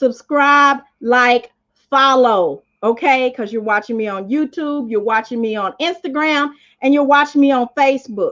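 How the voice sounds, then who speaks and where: A woman with a high, animated voice speaks at a fairly slow pace and with ordinary pitch variation. The background is quiet. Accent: Southern US. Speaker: motivational speaker. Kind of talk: live stream motivational talk. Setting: live stream. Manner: loud.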